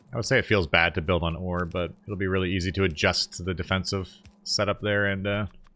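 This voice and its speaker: Over music in the background, a man with an American accent and a very deep, low pitch talks at a fairly quick pace in a monotone, flat intonation. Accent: North American pronunciation noted by viewers. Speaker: gaming video creator. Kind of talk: gameplay commentary. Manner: casual, conversational.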